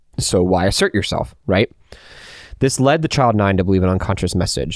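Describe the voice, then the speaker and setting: A plain, everyday voice from a man with fairly low pitch, lively intonation, a fairly quick pace and a very clean recording over a silent background. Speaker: podcast host. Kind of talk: casual interview chat.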